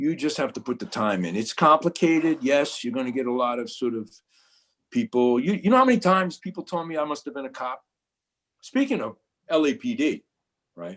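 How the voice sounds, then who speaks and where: With a Brooklyn accent, a man talks at a fairly quick pace, his pitch swinging very widely between long, frequent pauses. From New York, Brooklyn. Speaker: photojournalist. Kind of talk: panel discussion. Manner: halting, many repetitions.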